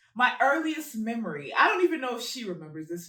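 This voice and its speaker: A woman at a very fast pace, with very wide pitch swings over noticeable background noise. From Congo. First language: Lingala. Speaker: podcast host. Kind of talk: casual chat.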